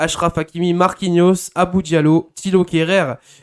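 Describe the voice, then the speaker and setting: On a very clean recording with a silent background, a man with a high pitch talks at a very slow pace with fairly even intonation. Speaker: football talk show host. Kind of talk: live football talk show. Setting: live stream. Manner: hesitant, many fillers.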